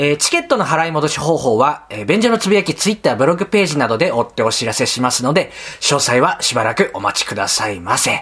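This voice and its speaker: This man's voice sits fairly high. His pitch swings very widely. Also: hardly any pauses. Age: 30s. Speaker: comedian podcast host. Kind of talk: casual chat; announcement.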